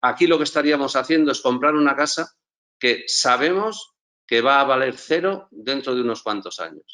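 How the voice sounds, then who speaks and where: Bright, sharp tone, pitch varying in an ordinary way. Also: man, fairly high pitch for a man, moderate pace. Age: 60s. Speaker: entrepreneur and school co-founder. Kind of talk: conference talk. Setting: live event stage. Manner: hesitant repetitions.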